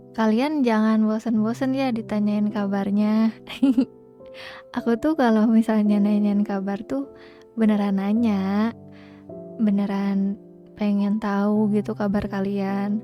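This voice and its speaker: Music plays in the background as a soft-spoken woman talks at a very slow pace. Her pitch is medium, with ordinary pitch variation. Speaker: live streamer. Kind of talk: casual live stream talk to viewers.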